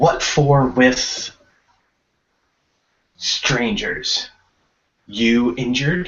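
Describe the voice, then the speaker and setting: A medium-pitched man in a put-on character voice, very slow, with long, frequent pauses. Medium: actual play. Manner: broken, clipped grammar.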